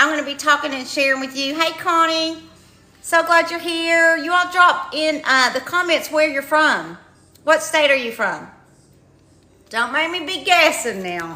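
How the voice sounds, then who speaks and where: With a slight Kentucky accent, a woman projects a raised voice at a high pitch and a fairly slow pace, her tone bright and sharp. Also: ordinary pitch variation. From eastern Kentucky. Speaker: retired teacher promoting online income program. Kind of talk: livestream sales pitch. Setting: live stream. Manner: animated.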